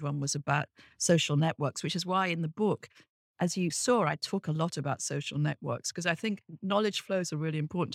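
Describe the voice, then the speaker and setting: A woman's very deep, low voice with a British accent, ordinary pitch variation and a fairly quick pace, on a very clean recording with a silent background and a dry, close sound with no echo. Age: 60s. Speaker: business professor and author. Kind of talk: interview conversation.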